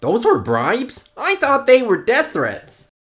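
A cartoonish character voice with a high pitch moves at a fairly slow pace.

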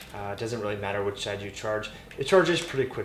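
Delivered at a very fast pace with ordinary pitch variation, the speech carries audible room echo and light background noise. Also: man. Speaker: product reviewer. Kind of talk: tutorial. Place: kitchen.

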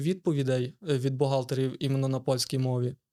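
A man is heard with a fairly high pitch. He speaks very fast. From Lviv Oblast, western Ukraine. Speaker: entrepreneur. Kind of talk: interview.

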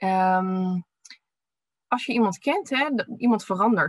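A somewhat breathy woman speaks with ordinary pitch variation against a quiet background, the sound dry with no echo. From Netherlands, Delft; Netherlands. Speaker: physiotherapist and researcher. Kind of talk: webinar presentation. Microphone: webcam.

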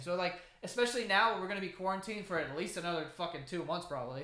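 The tone is bright and sharp. Delivery comes at a fairly quick pace. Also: man.

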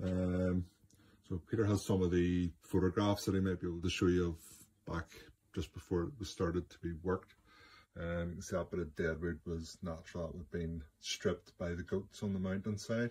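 A man with a Northern Irish accent, a very deep, low pitch, fairly even intonation, a somewhat breathy, dark, mellow tone, and a moderate pace. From Northern Ireland. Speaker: bonsai grower. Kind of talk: recorded video explanation. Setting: self-recorded video.

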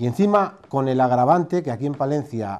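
At a fairly quick pace, a man speaks in a dark, mellow tone. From Spain. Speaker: dairy sector expert. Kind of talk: interview. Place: office. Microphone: lapel.

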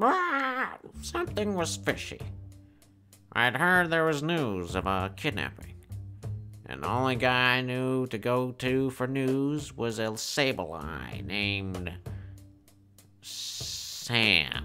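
Using a put-on character voice, a man speaks at a medium pitch and a very slow pace with long, frequent pauses while clear music plays in the background. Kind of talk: parody hard-boiled detective voice-over. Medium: comedy sketch.

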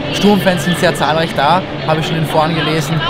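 A man's fairly quick speech over music in the background, dry with no echo. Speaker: fan vlogger. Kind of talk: casual vlog chat. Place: stadium. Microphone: phone near.

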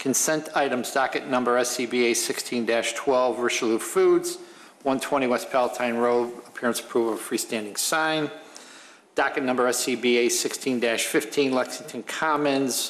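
The delivery moves at a fairly slow pace, with very even loudness and fairly even intonation. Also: man. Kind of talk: formal meeting procedure. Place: hall. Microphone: podium.

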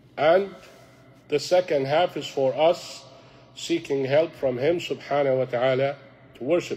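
Fairly high-pitched and with an Arabic accent, a man speaks with fairly even intonation, big swings in loudness and long, frequent pauses. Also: moderate pace. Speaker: imam teaching a youth class. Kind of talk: religious lecture. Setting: mosque class with audience.

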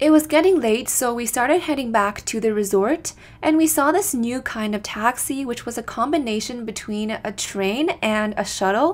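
Lively intonation runs at a moderate pace with hardly any pauses. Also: woman, high pitch for a woman. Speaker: travel vlogger narrating. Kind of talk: casual vlog narration.

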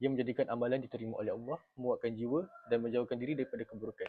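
A man speaks at a medium pitch. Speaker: university student. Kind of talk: class presentation.

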